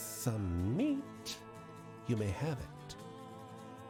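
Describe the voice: Someone reads a text. It is plain reading aloud.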